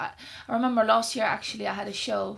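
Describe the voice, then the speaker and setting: A woman speaks at a fairly quick pace in a Dutch accent. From Netherlands. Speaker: singer. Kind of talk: podcast interview.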